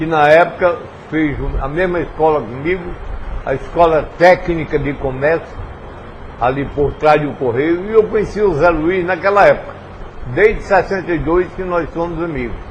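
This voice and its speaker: With noticeable background noise, a man with a high pitch and ordinary pitch variation talks at a moderate pace, leaving long, frequent pauses. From Brazil, Paraíba sertão (Pombal). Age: 70s. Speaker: former politician. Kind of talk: interview.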